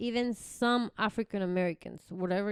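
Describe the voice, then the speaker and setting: Speaking at a moderate pace with a slight Spanish accent, a woman keeps a fairly even intonation in a dry, close sound with no echo. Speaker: podcast co-host. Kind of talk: casual chat.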